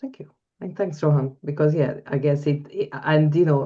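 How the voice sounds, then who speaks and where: This is a woman with a non-native accent. Her tone is dark and mellow. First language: not English. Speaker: coach. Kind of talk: webinar Q&A discussion.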